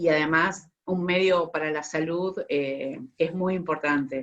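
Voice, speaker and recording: A woman's fairly low voice with a Rioplatense accent, fairly slow in pace and fairly even in intonation. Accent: Argentine Rioplatense Spanish. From Buenos Aires, Argentina. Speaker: tea sommelier. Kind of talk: online talk / presentation.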